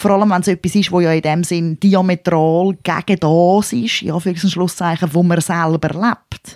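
A woman speaks with a Swiss accent in a fairly low voice, barely pausing. Her intonation stays fairly even. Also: moderate pace. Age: 40s. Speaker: podcast co-host. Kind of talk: casual chat.

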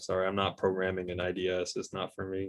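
A man's very deep, low voice with a Midwestern American accent and monotone, flat intonation. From US Midwest, Michigan. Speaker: automotive cybersecurity engineer. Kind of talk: casual interview.

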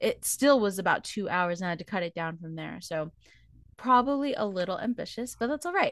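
A woman's animated, medium-pitched voice over a quiet background, dry and close with no echo. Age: 20s. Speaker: podcast co-host. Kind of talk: casual chat.

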